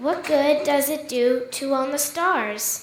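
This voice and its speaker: A woman uses a put-on character voice, high-pitched and very slow, with fairly even intonation and a slight echo. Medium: stage play. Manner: curt, matter-of-fact.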